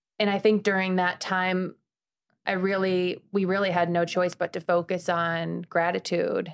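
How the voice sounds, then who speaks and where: In an American accent, a woman speaks at a medium pitch and fairly slow pace, her intonation monotone and flat and her loudness very even. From Chicago, US Midwest. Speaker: former TV news anchor, nonprofit founder. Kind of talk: casual interview chat.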